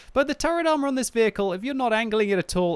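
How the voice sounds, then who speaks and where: A man with an English accent, in a dry sound with no echo. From Britain. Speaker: gaming YouTuber. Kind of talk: game commentary and review. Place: home room. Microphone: studio mic.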